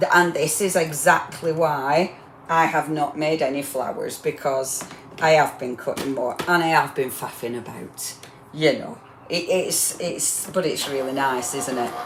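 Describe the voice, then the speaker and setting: With a northern English accent, a woman speaks in a very deep, low pitch with ordinary pitch variation, amid noticeable background noise and audible room echo. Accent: northern English, getting stronger. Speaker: crafting demonstrator. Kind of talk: live crafting demo. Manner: chatty, rambling.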